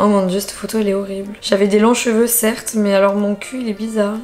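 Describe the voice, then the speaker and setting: Her fairly high voice moves at a fairly quick pace with fairly even intonation. The woman is heard over light background noise. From southern France, Marseille; southern France. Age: 30s. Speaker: influencer, YouTuber. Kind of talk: casual vlog. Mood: playful, self-mocking. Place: home room. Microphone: camera far.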